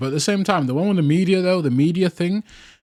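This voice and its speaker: Recorded very cleanly with a silent background, a man speaks with a British accent. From UK. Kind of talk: street interview. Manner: casual, conversational.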